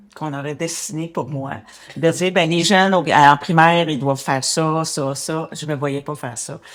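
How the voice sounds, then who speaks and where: Speech comes at a fairly slow pace against noticeable background noise. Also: woman. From Quebec, Montreal area. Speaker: cycling advocate. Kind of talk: interview. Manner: halting.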